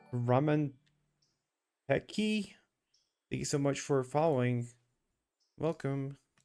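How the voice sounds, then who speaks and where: A man speaks at a very slow pace with a fairly high pitch and ordinary pitch variation. Music plays in the background, and his pauses are long and frequent. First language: not English. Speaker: streamer. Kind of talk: live gaming stream. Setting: live stream. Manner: casual, thinking aloud.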